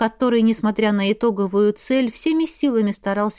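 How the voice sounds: The clip has a natural reading voice.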